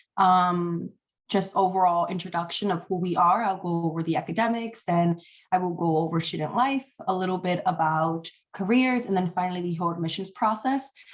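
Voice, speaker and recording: Moving at a fairly quick pace, a woman speaks in a New York accent. Her pitch is medium with ordinary variation. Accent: New York City. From US Northeast, New York City (South Bronx). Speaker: college admissions officer. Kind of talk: presentation. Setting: video call.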